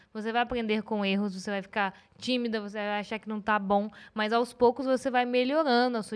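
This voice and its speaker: At a fairly quick pace, a woman with a fairly high voice speaks in a monotone, flat intonation on a very clean recording with a silent background. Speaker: podcast host. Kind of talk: casual chat.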